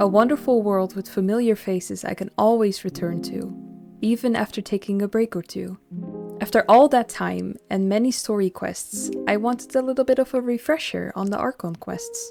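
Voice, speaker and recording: A soft-spoken woman with music in the background. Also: moderate pace. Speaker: gaming commentator. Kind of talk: scripted intro narration.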